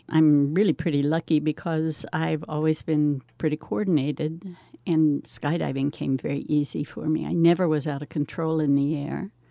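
A woman speaks with a very deep, low pitch at a moderate pace, hardly pausing. The recording is very clean, its background silent. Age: 70s. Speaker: retired skydiver. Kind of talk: recorded conversation.

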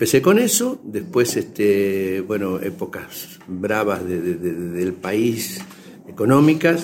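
A man at a very slow pace, lively intonation and noticeable background noise. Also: fairly low pitch for a man. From Argentina, Buenos Aires province. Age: 70s. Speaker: leather craftsman and teacher. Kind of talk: radio interview.

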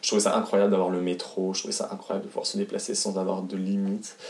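A man talks at a fairly quick pace over noticeable background noise, with audible echo from the room. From France, Haute-Savoie. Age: 20s. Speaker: singer and actor. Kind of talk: interview. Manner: halting, many fillers.

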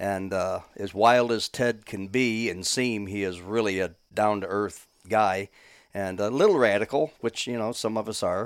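A man with an American accent and an unremarkable speaking voice talks at a fairly slow pace, in a fairly low pitch with fairly even intonation, on a very clean recording with a silent background. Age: 60s. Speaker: hunter, deer camp host. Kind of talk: casual chat.

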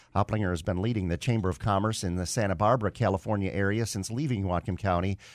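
On a very clean recording with a silent background, a man with a fairly low pitch talks at a very fast pace with hardly any pauses. His pitch variation is ordinary. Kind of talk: news reading, brisk headline-style world news bulletin. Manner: crisp, steady, formal newsreader delivery; brisk, concise.

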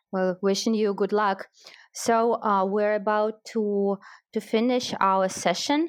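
Speaking at a very slow pace in a Russian accent, a woman keeps her loudness very even. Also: fairly high pitch for a woman. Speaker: wine marketer and educator, guest interviewer. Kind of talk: interview. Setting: online audio chat room. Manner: enthusiastic.

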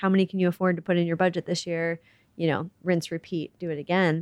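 An unremarkable speaking voice with an American accent, moving at a fairly quick pace. The sound is dry and close with no echo, over a quiet background. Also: woman. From US Midwest. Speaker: charity CEO and civil engineer. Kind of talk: interview. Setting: office.

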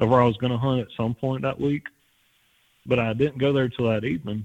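This man has a South Louisiana accent. His pitch sits in the medium range. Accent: South Louisiana Southern US. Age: 20s. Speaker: hunter, podcast listener. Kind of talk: casual interview.

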